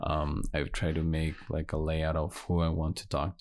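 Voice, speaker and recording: A man with a very deep, low pitch at a fairly slow pace, flat and monotone against a quiet background. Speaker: podcast host. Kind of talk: solo podcast monologue. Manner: halting.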